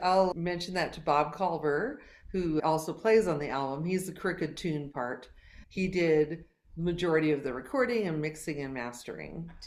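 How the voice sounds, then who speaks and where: An unremarkable speaking voice from a woman, fairly low in pitch, at a moderate pace with ordinary pitch variation. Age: 60s. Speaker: singer-songwriter. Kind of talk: casual chat.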